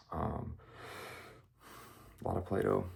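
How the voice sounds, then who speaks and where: A man is whispering. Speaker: student vlogger. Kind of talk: casual vlog. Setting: at home, others asleep. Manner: hesitant, many fillers; higher pitched than usual.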